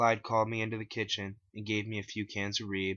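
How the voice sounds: A man with a fairly low pitch, little pitch movement, a bright, sharp tone and a fairly quick pace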